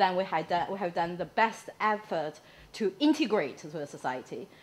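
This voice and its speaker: With a Chinese accent, a woman speaks at a moderate pace and with lively intonation. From mainland China. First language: Mandarin Chinese. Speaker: audience member. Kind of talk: Q&A question. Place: hall. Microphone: camera far.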